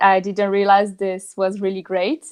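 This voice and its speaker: With a French accent, a woman speaks at a medium pitch. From southern France. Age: 30s. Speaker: marketing professional and yoga teacher. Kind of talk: podcast interview. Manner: halting, many fillers.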